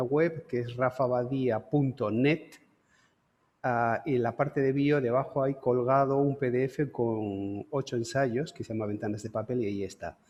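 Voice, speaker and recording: A man talks at a fairly slow pace with fairly even intonation in a normal speaking voice. His pitch sits in the medium range. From Canary Islands, Santa Cruz de Tenerife. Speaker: lecturer, photographer. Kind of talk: lecture.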